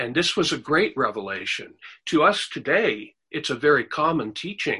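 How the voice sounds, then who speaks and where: At a very slow pace, a man with a fairly high pitch talks in a bright, sharp tone with vocal fry. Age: 60s. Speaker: preacher. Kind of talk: sermon.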